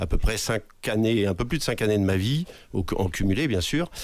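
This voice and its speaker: A man's fairly low pitch comes through on a very clean recording with a silent background. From western France, Anjou. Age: 60s. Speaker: municipal election candidate, former army officer. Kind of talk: self-introduction in debate. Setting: radio studio. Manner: hesitant, many fillers.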